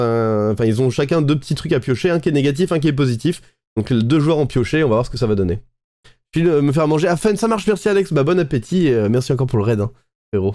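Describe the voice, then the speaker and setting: A man's pitch swings very widely. He talks at a fairly quick pace. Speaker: Twitch streamer. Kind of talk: live stream reaction commentary. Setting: live stream. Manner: hesitant, many fillers.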